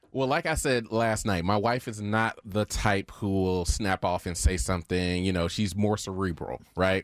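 Recorded very cleanly with a silent background and a dry, close sound with no echo, a man speaks at a fairly low pitch in an unremarkable speaking voice with ordinary pitch variation. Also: moderate pace. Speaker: show producer, co-host. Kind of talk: casual banter.

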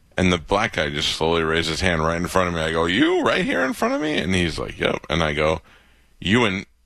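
A man's very deep, low voice with a bright, sharp tone, at a fairly quick pace with ordinary pitch variation, over a quiet background. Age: 40s. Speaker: radio host. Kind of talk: casual chat. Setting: home studio.

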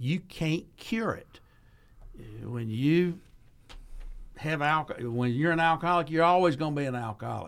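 With a Southern US accent, a man speaks at a moderate pace and a fairly high pitch, ordinary pitch variation, and long, frequent pauses. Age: 60s. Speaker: addiction recovery program director, former chamber of commerce head. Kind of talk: radio interview. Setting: studio.

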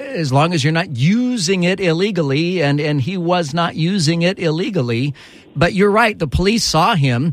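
With lively intonation and a high pitch, a man talks at a moderate pace as noticeable background noise runs underneath. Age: 50s. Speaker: talk radio host. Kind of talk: talk radio commentary.

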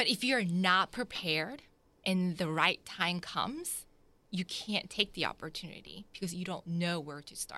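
Speaking at a fairly slow pace with an American accent, a woman has a bright, sharp tone in a very clean recording with a silent background. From Jacksonville, Florida (born South Korea). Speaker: boutique owner. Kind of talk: interview.

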